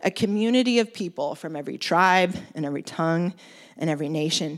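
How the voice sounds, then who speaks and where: A woman with an American accent speaks at a fairly quick pace in an unremarkable speaking voice, with ordinary pitch variation, on a very clean recording with a silent background. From US West Coast (Oregon). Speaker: preacher. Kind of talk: sermon. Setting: church.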